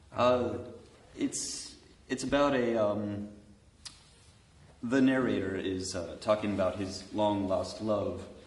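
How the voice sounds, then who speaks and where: Talking with an American accent at a very slow pace, a man with a fairly low voice and fairly even intonation leaves long, frequent pauses amid audible room echo and noticeable background noise. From United States. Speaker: composer and pianist. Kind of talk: panel discussion. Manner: halting.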